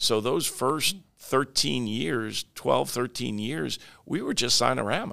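A man with an American accent speaks at a medium pitch in a bright, sharp tone. His pace is very slow, and his pitch swings very widely. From Long Island, New York. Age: 60s. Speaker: franchise company CEO. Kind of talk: interview.

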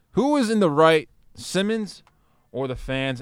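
The man talks at a fairly slow pace with very wide pitch swings. The recording is very clean, with a silent background. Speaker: sports podcast co-host. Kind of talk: casual sports banter. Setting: studio. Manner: bantering, sarcastic.

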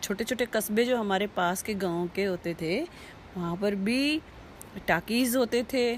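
Her pitch fairly high and varying in an ordinary way, a woman talks in an ordinary speaking voice. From rural Uttarakhand, Barkot area. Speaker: host's mother, interviewee. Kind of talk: interview.

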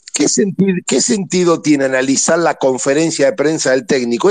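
He has a plain, everyday voice. The man's intonation is lively. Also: hardly any pauses, very even loudness. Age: 50s. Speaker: football fan caller. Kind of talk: casual chat.

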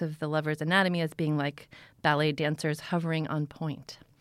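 A woman's plain, everyday voice, fairly low in pitch and fairly quick, on a very clean recording with a silent background. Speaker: literary news reporter. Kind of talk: casual chat. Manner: lively, humorous.

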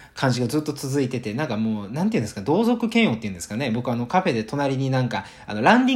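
A man talks at a very fast pace with a medium pitch and very wide pitch swings. His voice is somewhat breathy. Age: 20s. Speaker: web business owner, podcaster. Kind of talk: solo podcast monologue.

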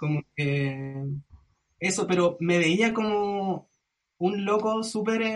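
With a Chilean accent, a man speaks at a high pitch and a very slow pace, leaving long, frequent pauses. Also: ordinary pitch variation. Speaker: singer-songwriter and music producer. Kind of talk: casual chat.

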